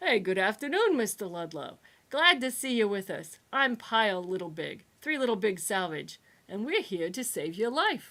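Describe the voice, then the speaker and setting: Someone talks in a put-on character voice. The pace is moderate. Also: woman, fairly high pitch for a woman. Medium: read story. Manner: cheerful, brash.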